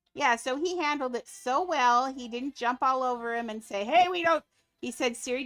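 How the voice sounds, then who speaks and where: Over music in the background, the speaker's intonation is lively and the pace moderate. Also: woman. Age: 50s. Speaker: gaming livestreamer. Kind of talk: casual livestream chat. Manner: rambling, relaxed.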